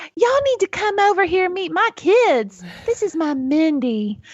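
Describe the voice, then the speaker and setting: A woman puts on a character voice in a Southern US accent, pitched extremely high. Her pitch swings very widely. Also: moderate pace. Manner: proud, warm.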